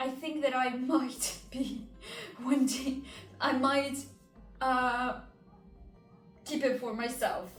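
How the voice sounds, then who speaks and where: A woman with a non-native accent speaks at a high pitch and a very slow pace. Music plays in the background, and the room echo is audible. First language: not English. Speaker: knitting vlogger. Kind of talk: casual vlog. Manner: hesitant, many fillers.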